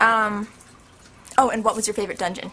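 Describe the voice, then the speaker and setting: A woman speaks at a very fast pace. Her pitch is medium. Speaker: video blogger. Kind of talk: casual Q&A vlog. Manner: animated.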